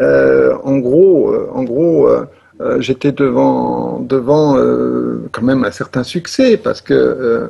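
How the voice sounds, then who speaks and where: Speaking at a very slow pace, a man is heard through noticeable background noise. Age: 60s. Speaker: professor and manual therapist. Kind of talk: interview. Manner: halting, many hesitations.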